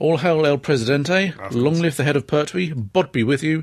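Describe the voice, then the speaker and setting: Someone talks at a moderate pace with ordinary pitch variation over noticeable background noise. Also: man. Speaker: podcast host. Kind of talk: casual chat. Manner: playful, jokey.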